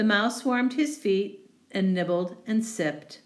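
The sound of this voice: Pitch moves in an ordinary way through an unforced reading voice.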